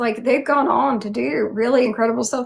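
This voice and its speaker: A woman with a strong Southern accent. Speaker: YouTube fantasy channel host and cosplayer. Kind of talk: casual interview chat. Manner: animated, many fillers.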